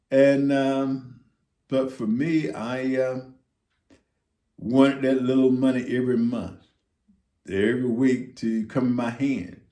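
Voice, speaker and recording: Amid audible room echo, a man with an American accent and a dark, mellow tone speaks very slowly in fairly even intonation, with long, frequent pauses. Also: medium pitch for a man. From US South. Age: 60s. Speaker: retiree vlogger. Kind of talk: casual monologue. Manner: halting, many fillers.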